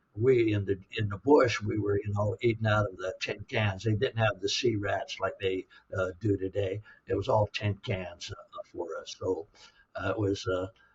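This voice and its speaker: In an American accent, a man talks at a fairly slow pace and fairly low pitch, somewhat breathy, with monotone, flat intonation. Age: 70s. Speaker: war veteran. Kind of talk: interview. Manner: halting, many fillers.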